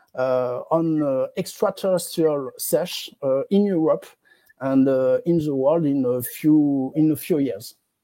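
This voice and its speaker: A woman's fairly low, dark, mellow voice in a French accent, lively in intonation and very slow in pace, on a very clean recording with a silent background. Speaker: interview host. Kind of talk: interview. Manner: halting.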